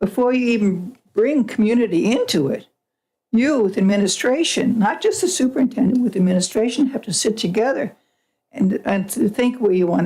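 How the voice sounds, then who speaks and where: A woman speaks in a dark, mellow tone that is somewhat breathy, with lively intonation. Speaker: public commenter at school board meeting. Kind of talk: public comment. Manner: fast.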